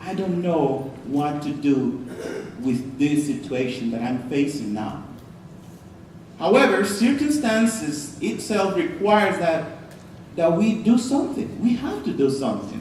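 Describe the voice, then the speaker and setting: Speaking at a fairly slow pace with a non-native accent, a man with a fairly high pitch swings very widely in pitch, with audible room echo and noticeable background noise. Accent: noticeable foreign. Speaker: pastor. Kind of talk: sermon. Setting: church. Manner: halting, repeats words.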